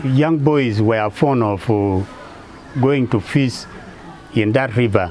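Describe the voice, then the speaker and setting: A man talks very slowly, his pitch varying in an ordinary way, while noticeable background noise runs underneath. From northern Uganda. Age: 60s. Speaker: local government official. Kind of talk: testimony.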